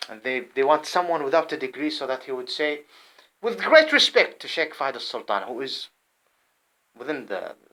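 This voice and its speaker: With an Arabic accent, a man with a fairly high pitch and a bright, sharp tone speaks at a moderate pace, using ordinary pitch variation, big swings in loudness and long, frequent pauses. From Saudi Arabia. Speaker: vlogger. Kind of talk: personal monologue. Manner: halting; agitated.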